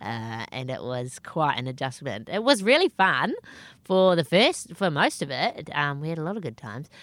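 With a New Zealand accent, a woman speaks at a very deep, low pitch, with very wide pitch swings and big swings in loudness. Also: moderate pace, very clean recording, silent background. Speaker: stand-up comedian. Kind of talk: casual interview chat. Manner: self-deprecating, humorous.

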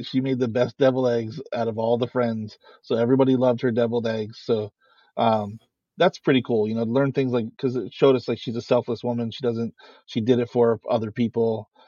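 This man has a dark, mellow tone at a medium pitch and talks at a fairly quick pace. His intonation is monotone and flat, and the sound is dry and close with no echo. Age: 40s. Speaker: podcast host. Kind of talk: casual chat. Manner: fast talker.

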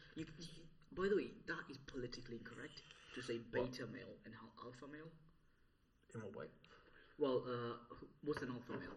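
Speaking at a fairly quick pace, a man sounds somewhat breathy, his loudness swinging widely between long, frequent pauses. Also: medium pitch for a man, ordinary pitch variation. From Italy, Sikh family. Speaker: comedian guest. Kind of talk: casual chat. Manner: animated.

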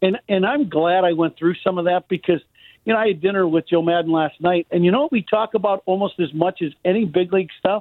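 A man talks very fast in an American accent, his pitch high. His loudness stays very even. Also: ordinary pitch variation. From Chicago. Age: 50s. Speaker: former baseball player and radio broadcaster. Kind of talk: casual chat.

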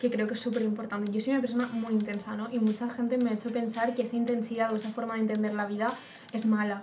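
With a fairly high pitch and monotone, flat intonation, a woman talks at a very fast pace. There is noticeable background noise and audible room echo. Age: 20s. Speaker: podcast co-host. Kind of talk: casual chat.

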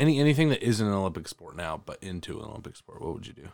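This man speaks at a fairly low pitch. He has a plain, everyday voice. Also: very clean recording, silent background. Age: 20s. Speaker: podcast host. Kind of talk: casual chat.

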